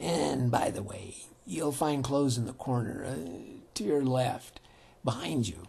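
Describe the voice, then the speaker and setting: A man uses a put-on character voice at a medium pitch. The sound is raspy. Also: moderate pace. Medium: read story. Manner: dry, amused.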